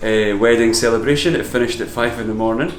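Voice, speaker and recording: A man's medium-pitched voice with an Edinburgh accent, amid noticeable background noise and audible room echo. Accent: Scottish (Edinburgh). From Scotland, Edinburgh. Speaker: painter. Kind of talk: interview.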